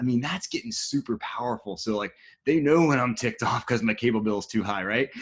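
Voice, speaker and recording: A man speaks at a very fast pace in an animated tone. His pitch swings very widely. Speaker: tech podcast host. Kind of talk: interview.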